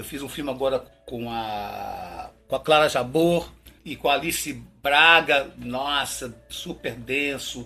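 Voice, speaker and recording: Very slow man's voice with a bright, sharp tone and big swings in loudness. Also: fairly high pitch for a man, ordinary pitch variation. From Minas Gerais, Brazil. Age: 60s. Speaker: actor. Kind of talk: interview. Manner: halting, repetitive.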